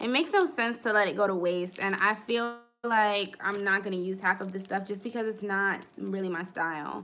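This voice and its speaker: A woman with a medium-pitched, bright, sharp voice speaks with hardly any pauses and ordinary pitch variation. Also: moderate pace. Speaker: planner YouTuber. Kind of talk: live stream haul. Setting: live stream. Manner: casual chatty.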